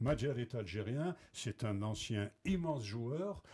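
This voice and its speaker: A man speaks at a medium pitch in a dark, mellow, somewhat breathy tone. His pitch swings very widely. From Algeria, Blida. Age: 60s. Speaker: former footballer. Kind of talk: TV panel interview.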